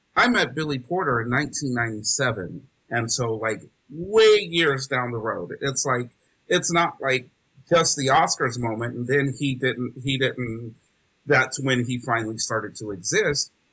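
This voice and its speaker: This man has a bright, sharp tone and an American accent. He speaks at a moderate pace with lively intonation. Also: medium pitch for a man. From US South, rural North Carolina. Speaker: theatre educator, nonprofit founder. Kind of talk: interview.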